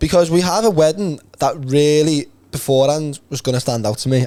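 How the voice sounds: Speaking at a fairly quick pace, a man has a fairly high pitch, a dark, mellow tone and ordinary pitch variation.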